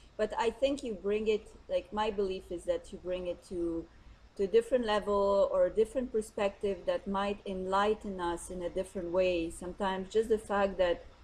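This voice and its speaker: The delivery keeps a medium tempo. Pitch stays fairly level throughout. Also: woman. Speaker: interviewer. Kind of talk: interview conversation. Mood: warm, agreeing. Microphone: video call.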